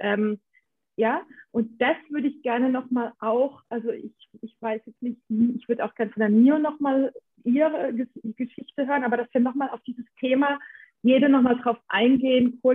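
At a moderate pace, a woman with a high-pitched voice speaks with fairly even intonation. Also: big swings in loudness. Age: 40s. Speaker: podcast co-host. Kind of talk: casual chat.

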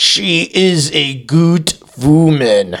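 A man puts on a character voice with a strong non-native accent as part of the act. His pitch is fairly high and his intonation lively. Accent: heavy foreign.

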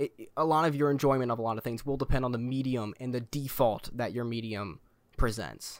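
Heard on a very clean recording with a silent background, a man uses a plain, everyday voice at medium pitch. He moves at a fairly quick pace with fairly even intonation. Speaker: podcast host. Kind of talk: casual chat.

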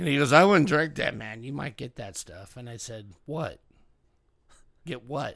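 A man with vocal fry speaks at a moderate pace and a fairly high pitch, with lively intonation. His loudness swings widely, and he leaves long, frequent pauses. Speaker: podcast host. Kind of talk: casual chat.

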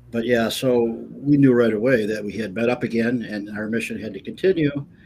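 Fairly even intonation marks this man's unremarkable speaking voice. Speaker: author. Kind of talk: casual interview. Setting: video call.

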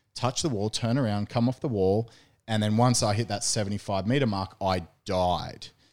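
In a very clean recording over a silent background, a man speaks in a plain, everyday voice at a fairly low pitch and fairly quick pace with ordinary pitch variation. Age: 30s. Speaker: strength and conditioning coach. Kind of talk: casual chat. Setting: studio.

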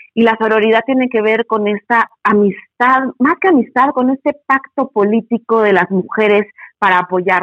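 A woman has a plain, everyday voice with a fairly high pitch and ordinary pitch variation, at a moderate pace. Her loudness stays very even, and the sound is dry and close with no echo. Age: 40s. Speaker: feminist educator. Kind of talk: interview.

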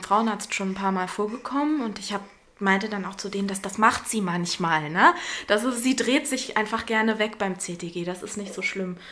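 With noticeable background noise behind her, a woman speaks at a moderate pace in a medium pitch with ordinary pitch variation. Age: 30s. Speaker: mother, former actress and theatre educator. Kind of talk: casual interview. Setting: in person with her baby.

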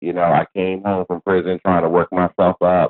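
Speaking at a moderate pace, a man with a fairly low pitch has an unremarkable speaking voice. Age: 40s. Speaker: hair stylist. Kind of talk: interview.

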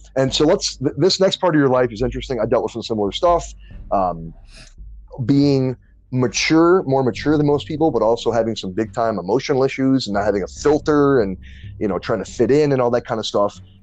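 Here is an unremarkable speaking voice with an American accent. It moves at a fairly quick pace with lively intonation. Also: man, medium pitch for a man. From New Orleans and Detroit. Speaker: podcast host. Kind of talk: casual interview.

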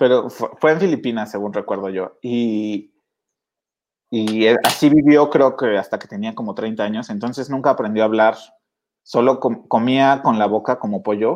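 A man with a Mexican accent talks at a moderate pace and medium pitch, with ordinary pitch variation, big swings in loudness, and a quiet background. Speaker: podcast host. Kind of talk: casual chat.

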